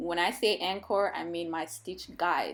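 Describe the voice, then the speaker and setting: Ordinary pitch variation in a Nigerian accent, with music in the background. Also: woman. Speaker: hair braider. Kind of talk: tutorial. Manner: casual, chatty.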